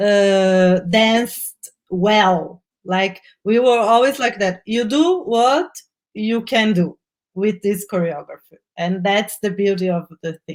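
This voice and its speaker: Speaking very slowly, a woman uses a medium pitch and ordinary pitch variation. She has a non-native accent. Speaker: film director. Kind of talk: live online Q&A interview. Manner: halting, repeats words.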